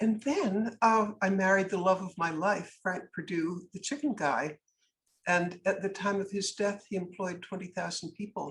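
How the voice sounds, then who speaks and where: A woman's voice sits at medium pitch and sounds somewhat breathy. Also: ordinary pitch variation, moderate pace. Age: 80s+. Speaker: businesswoman and anti-trafficking advocate. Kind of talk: podcast interview. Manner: animated.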